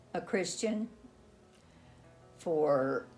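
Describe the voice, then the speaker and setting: Music plays in the background as a woman speaks at a very slow pace. Her intonation is lively. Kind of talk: interview answer. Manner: slow, reflective.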